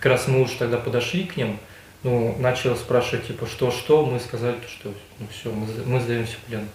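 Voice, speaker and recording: A man speaks at medium pitch and a moderate pace with fairly even intonation but big swings in loudness. Audible room echo and noticeable background noise surround him. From Russia, Mordovia. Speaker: prisoner of war. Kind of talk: interrogation interview. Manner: halting.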